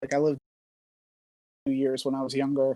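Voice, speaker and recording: A man with a slight New York accent speaks fairly quickly in a fairly high voice, the sound dry and close with no echo. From New Jersey, US. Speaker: online quiz game player. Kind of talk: casual interview chat. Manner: many fillers and hesitations.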